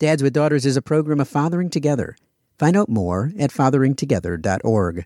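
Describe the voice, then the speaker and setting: Very fast speech from a man with an American accent, a dark, mellow tone and very wide pitch swings, dry and close with no echo, on a very clean recording with a silent background. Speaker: podcast host. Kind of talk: casual interview.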